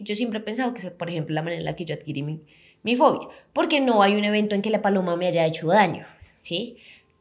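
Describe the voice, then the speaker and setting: This woman has a medium pitch and lively intonation. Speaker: psychologist podcast host. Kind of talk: educational podcast talk. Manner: fast.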